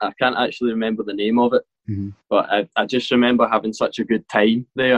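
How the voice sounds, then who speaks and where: Talking fairly quickly in a medium pitch, a man speaks with a Glaswegian accent. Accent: Glaswegian Scottish. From Scotland, Motherwell near Glasgow. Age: 20s. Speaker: professional rollerblader. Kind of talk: interview conversation.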